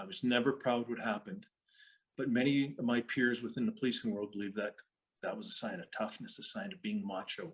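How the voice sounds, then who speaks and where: This man speaks with a Canadian accent at a medium pitch. His pace is fairly quick and his pitch swings very wide. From western Canada, Calgary. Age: 60s. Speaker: retired police officer and speaker. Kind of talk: talk to an online audience.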